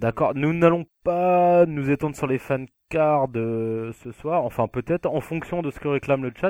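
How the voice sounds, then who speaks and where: Against a quiet background with a dry, close sound and no echo, a man with fairly high pitch speaks at a fairly slow pace in an unremarkable speaking voice with ordinary pitch variation. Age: 20s. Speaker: podcast co-host. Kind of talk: casual chat.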